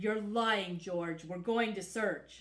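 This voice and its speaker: A female-sounding voice puts on a gruff character. Its pitch sits at a medium level for a woman. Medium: read story. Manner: blunt, overbearing.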